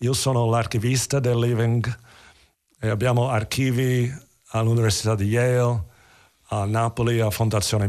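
The speaker has an English accent and fairly even intonation. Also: man. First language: English (speaking Italian). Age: 70s. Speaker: theatre actor. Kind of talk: interview.

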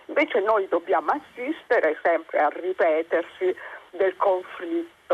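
Noticeable background noise accompanies a woman speaking at a very slow pace. Her pitch swings very widely. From Campania, Caserta province. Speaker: caller. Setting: phone call.

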